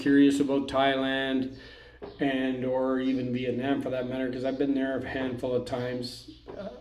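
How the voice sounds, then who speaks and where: The speaker has a Canadian accent and a moderate pace. Audible room echo surrounds the voice. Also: man. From Canada. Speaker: expat vlogger. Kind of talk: casual vlog talk. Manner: monotone; hesitant, with fillers.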